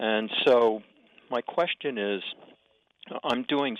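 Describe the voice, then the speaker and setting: The man talks at a very slow pace. His pitch is medium. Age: old. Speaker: retired caller. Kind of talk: call-in question. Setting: phone call.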